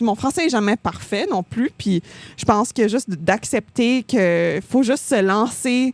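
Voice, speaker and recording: A dry, close sound with no echo and a fairly slow pace. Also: woman, fairly high pitch for a woman. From Ontario, Canada. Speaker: singer-songwriter, music coach. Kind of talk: podcast interview. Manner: hesitant, many fillers.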